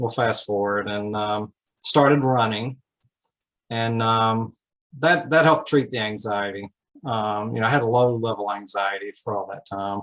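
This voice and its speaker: At a moderate pace, a man talks in a medium pitch with ordinary pitch variation. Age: 60s. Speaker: optometrist and patient. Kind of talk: panel discussion testimony. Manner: halting.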